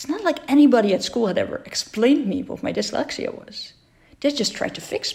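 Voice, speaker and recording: A woman with a Dutch accent talks fairly quickly at a high pitch. Her pitch swings very widely and her loudness varies greatly. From Netherlands. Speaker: entrepreneur and dyslexia advocate. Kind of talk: personal talk. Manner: halting.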